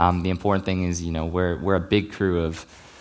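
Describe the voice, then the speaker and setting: A man with an American accent talks at a very fast pace in a very deep, low pitch. His intonation is monotone and flat. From US South. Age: 20s. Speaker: actor. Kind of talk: talk to live audience, Q&A. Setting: stage with audience.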